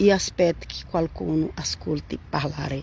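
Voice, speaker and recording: A woman speaks at a very slow pace with a Portuguese accent. Noticeable background noise runs behind her. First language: Portuguese (speaking Italian). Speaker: Bible teacher. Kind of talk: Bible reading and commentary livestream. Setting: Facebook live stream. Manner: halting.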